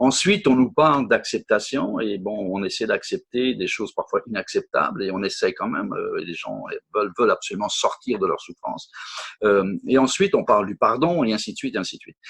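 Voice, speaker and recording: With big swings in loudness, a man talks at a fairly quick pace, the sound dry and close with no echo. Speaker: workshop speaker on personal development. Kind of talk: interview about his workshop. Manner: fast; hesitant, with many repetitions.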